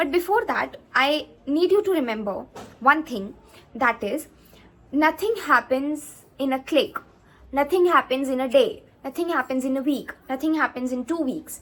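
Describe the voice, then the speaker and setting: With an Indian accent, a woman speaks in a high pitch and lively intonation. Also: moderate pace. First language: Hindi. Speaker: YouTuber, CA student. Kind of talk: advice vlog. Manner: halting, many fillers.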